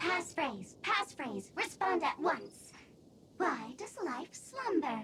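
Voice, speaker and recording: A put-on character voice speaks at an extremely high pitch and a very slow pace, with very wide pitch swings. Clear background noise can be heard. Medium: video game.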